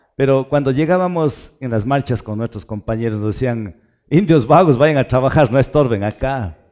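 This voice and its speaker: Over a quiet background, a medium-pitched man speaks at a moderate pace. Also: lively intonation. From Ecuadorian Andes, rural Tarqui near Cuenca; Ecuador. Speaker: lawyer. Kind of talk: casual chat. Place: studio. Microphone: headset.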